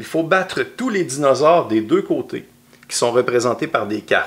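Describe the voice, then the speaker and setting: With a Quebec accent, a man speaks at a moderate pace in a fairly high pitch, with vocal fry. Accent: Québécois French. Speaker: board game designer. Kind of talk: game rules explanation and playthrough. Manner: casual.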